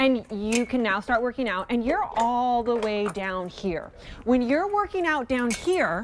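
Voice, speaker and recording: Over noticeable background noise, a woman speaks at a fairly slow pace in an upbeat tone. Her pitch is high and swings very widely. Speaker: TV shopping host. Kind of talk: TV shopping presentation.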